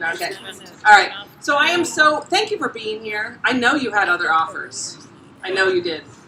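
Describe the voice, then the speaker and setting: A woman talks loudly with an American accent, her pitch swinging very widely and her speech broken by long, frequent pauses. Audible room echo and noticeable background noise surround her voice. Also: moderate pace. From South Florida. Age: 40s. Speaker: essayist. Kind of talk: reading aloud. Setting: stage with audience; bar. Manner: animated.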